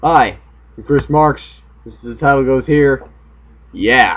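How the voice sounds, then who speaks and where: An American accent at a moderate pace. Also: man. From US South, Tampa, Florida. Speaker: video blogger. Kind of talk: casual vlog monologue. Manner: animated.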